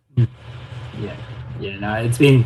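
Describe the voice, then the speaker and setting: A man's somewhat breathy voice. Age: 30s. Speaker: online community owner. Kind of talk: casual chat.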